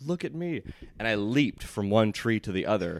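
Recorded very cleanly against a silent background, a man speaks. His pace is moderate. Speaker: podcast co-host. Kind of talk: casual chat with storytelling. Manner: animated, rambling, filler-heavy.

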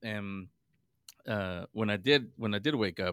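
Fairly low-pitched male voice with an American accent, dry and close with no echo. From US West Coast, San Francisco. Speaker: radio broadcaster and paranormal podcaster. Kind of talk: casual interview chat. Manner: halting, many repeats and fillers.

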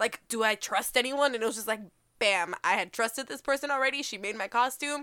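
On a very clean recording with a silent background, a woman speaks fairly quickly in a fairly high, bright, sharp voice with ordinary pitch variation. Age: 20s. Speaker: comic book podcast co-host. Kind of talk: casual chat.

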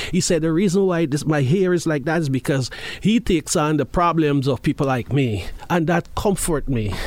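Noticeable background noise surrounds a man who speaks at a moderate pace in a fairly high voice, with ordinary pitch variation and very even loudness. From Guyana. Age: 50s. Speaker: formerly homeless person. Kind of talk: interview. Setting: studio.

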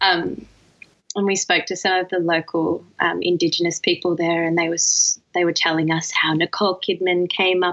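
A woman with an Australian accent speaks at a fairly low pitch. Her delivery is monotone and flat, at a moderate pace. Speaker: dancer and new mother. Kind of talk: casual chat. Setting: recorded late at night.

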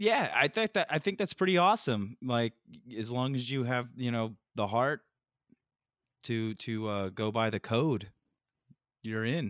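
Recorded very cleanly against a silent background, a man with a medium pitch talks at a fairly slow pace with lively intonation and long, frequent pauses, the sound dry and close with no echo. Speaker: podcast co-host. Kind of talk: casual podcast chat. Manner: halting, filler-heavy.

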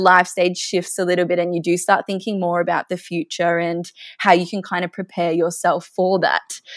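A woman with an Australian accent talks at a fairly quick pace in a medium pitch, her voice dry and close with no echo on a very clean recording against a silent background. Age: 20s. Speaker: physiotherapist. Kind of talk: casual interview.

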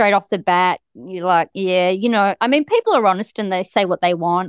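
The speaker has an Australian accent and a moderate pace. The sound is dry and close, with no echo. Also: woman. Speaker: guest, wife of a wrongfully convicted man. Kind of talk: casual interview, telling her story. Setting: remote call across countries.

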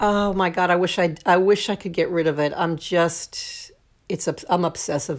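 An ordinary speaking voice at a moderate pace, with fairly even intonation. The recording is very clean, with a silent background. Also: woman. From Brooklyn, New York. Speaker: songwriter and lyric writing teacher. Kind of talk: casual chat.

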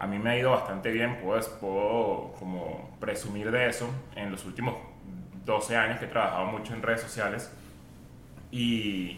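A man talks in a flat monotone with long, frequent pauses, with audible room echo and noticeable background noise. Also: medium pitch for a man, moderate pace. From Venezuela. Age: 40s. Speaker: podcaster and internet comedian. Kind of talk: casual chat.

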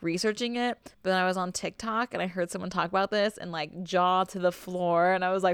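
The intonation is fairly even. The delivery is plain reading aloud.

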